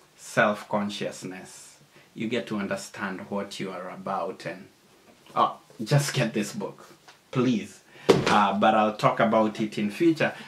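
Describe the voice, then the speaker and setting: Over noticeable background noise, a man speaks at a fairly slow pace with ordinary pitch variation and big swings in loudness. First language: not English. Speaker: YouTuber / book reviewer. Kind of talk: casual video monologue. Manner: casual, halting.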